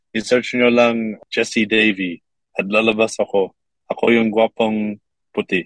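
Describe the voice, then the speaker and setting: A man's medium-pitched voice, very even in loudness, at a fairly slow pace, with monotone, flat intonation and a dry, close sound with no echo. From Kuwait. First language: English (speaking Tagalog). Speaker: TikTok creator. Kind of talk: interview.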